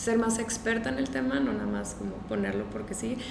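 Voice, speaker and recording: A woman with a fairly high voice talks in a room with audible echo, and noticeable background noise is present. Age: 20s. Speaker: entrepreneur, founder of a business. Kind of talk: interview.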